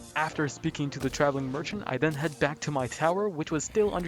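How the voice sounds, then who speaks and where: Noticeable background noise behind a man with a fairly high pitch, a fairly quick pace and ordinary pitch variation. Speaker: gaming youtuber. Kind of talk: voiceover narration of gameplay. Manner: casual.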